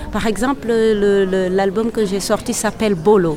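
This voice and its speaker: Noticeable noise sits behind a voice whose pitch rises and falls in an ordinary way. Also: woman. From Senegal. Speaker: kora player and singer. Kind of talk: interview. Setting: event venue. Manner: halting.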